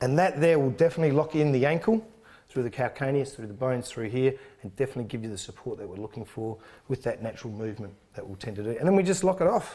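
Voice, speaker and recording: Very fast in pace, a man speaks at a medium pitch with lively intonation and big swings in loudness. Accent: Australian. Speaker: sports trainer. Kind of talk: tutorial.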